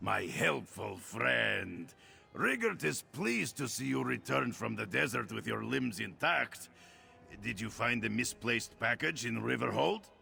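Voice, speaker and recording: A man puts on a gravelly, raspy character voice at a fairly low pitch. He keeps a moderate pace while music plays clearly in the background. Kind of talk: formal, third-person self-reference.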